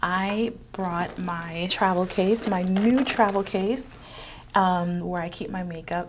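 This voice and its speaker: A woman with a medium pitch and fairly even intonation talks in an ordinary speaking voice. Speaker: beauty vlogger. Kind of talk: get-ready-with-me makeup tutorial. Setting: office. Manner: casual, chatty with fillers.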